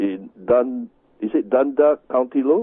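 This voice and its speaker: Here is a man with a Chinese accent. His pitch swings very widely. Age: 60s. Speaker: Tai Chi master and healing teacher. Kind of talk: radio interview. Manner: halting.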